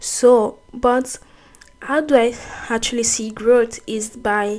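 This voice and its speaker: Against noticeable background noise, a woman with a non-native accent speaks in a monotone, flat intonation. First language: not English. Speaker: YouTuber, self-improvement talk. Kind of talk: motivational talk to camera. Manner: halting, with self-corrections.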